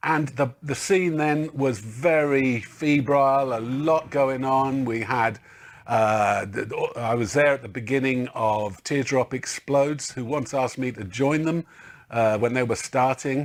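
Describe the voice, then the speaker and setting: With a slight Liverpool accent, a man speaks at a fairly slow pace. His pitch is medium, with ordinary variation. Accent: slight northern twang, from Liverpool years. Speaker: drummer. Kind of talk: interview.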